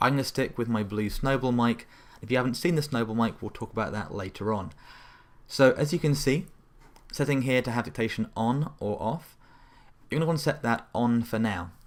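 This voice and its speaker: Someone speaks in a British accent at a fairly quick pace with ordinary pitch variation. The recording is very clean, with a silent background. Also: man, medium pitch for a man. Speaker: tech tutorial presenter. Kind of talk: tutorial. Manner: fast.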